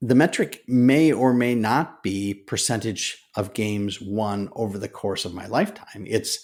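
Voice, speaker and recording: On a very clean recording with a silent background, a man at medium pitch speaks at a fairly slow pace with hardly any pauses and ordinary pitch variation. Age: 50s. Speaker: podcast host. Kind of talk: solo podcast monologue. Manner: halting, many fillers and restarts.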